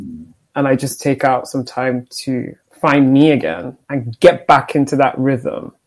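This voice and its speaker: A woman's very deep, low pitch with ordinary pitch variation, at a fairly slow pace. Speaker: podcast host. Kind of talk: podcast interview, casual conversational.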